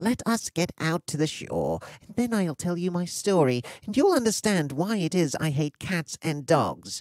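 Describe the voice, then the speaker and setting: Putting on a character voice, a man speaks high-pitched and shaky at a moderate pace. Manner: agitated, upset.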